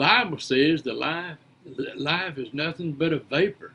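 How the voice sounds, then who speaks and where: A man with an Appalachian accent, fairly high in pitch, at a very slow pace. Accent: Southern US (Appalachian). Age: 70s. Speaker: preacher, storyteller. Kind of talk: casual monologue. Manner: halting, repeats words.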